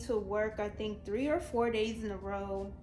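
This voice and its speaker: A woman with an American accent speaks quietly, in a fairly high pitch with fairly even intonation. Audible room echo and noticeable background noise fill the recording. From Virginia. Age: young. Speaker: YouTuber. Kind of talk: storytime vlog. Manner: monotone.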